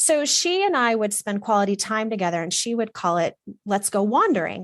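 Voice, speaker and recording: A woman with an American accent, fairly high-pitched, animated in tone and lively in intonation. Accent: slight Southern drawl at times, mostly none. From Texas. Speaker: wardrobe stylist. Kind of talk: interview conversation.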